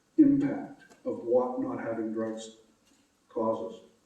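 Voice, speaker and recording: Audible room echo surrounds this man as he speaks. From Nova Scotia, Canada. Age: 60s. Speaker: patient advocate. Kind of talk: public talk. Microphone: echo in room.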